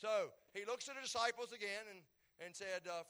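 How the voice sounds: What comes through is a natural reading voice.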